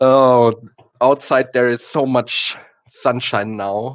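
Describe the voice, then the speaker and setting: A man speaks with ordinary pitch variation. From Germany. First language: German. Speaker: content creator, home cook. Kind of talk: live-stream cooking vlog. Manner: hesitant, many fillers.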